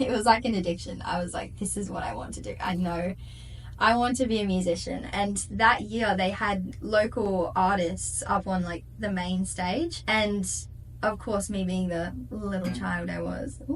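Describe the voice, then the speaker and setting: A woman speaks at a moderate pace with an Australian accent. The room echo is audible. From Perth, Western Australia. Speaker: singer-songwriter. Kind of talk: interview. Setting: studio. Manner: animated.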